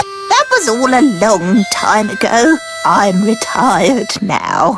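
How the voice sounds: A female-sounding cartoonish character voice, fairly high in pitch, speaks at a very slow pace. Loud music plays in the background.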